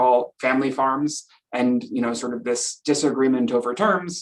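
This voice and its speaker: A man is speaking. He has an Upper Midwest accent. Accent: Upper Midwest (Minnesota). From Minnesota. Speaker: professor. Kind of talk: lecture.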